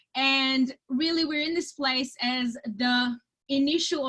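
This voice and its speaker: A woman speaks in a high pitch with an enthusiastic tone. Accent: Romanian. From Romania. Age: 30s. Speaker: network marketing entrepreneur. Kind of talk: webinar presentation. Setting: video call.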